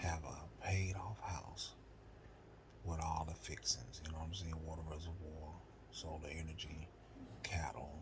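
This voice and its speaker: Long, frequent pauses mark this fairly slow speech, heard over noticeable background noise. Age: 30s. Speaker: vlogger. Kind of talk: casual monologue. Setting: at home.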